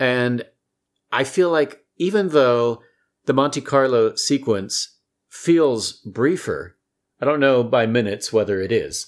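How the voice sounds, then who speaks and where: A man at a medium pitch, lively in intonation, very even in loudness, at a very slow pace. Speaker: podcast co-host. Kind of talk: casual chat. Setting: studio.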